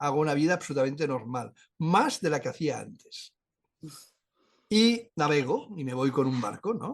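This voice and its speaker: A fairly high, somewhat breathy male voice. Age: 70s. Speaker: neurologist and near-death experiencer. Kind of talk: interview.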